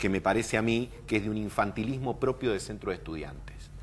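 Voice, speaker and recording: A man's fairly low voice with vocal fry, ordinary pitch variation and a fairly quick pace. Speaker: political commentator. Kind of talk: televised political debate.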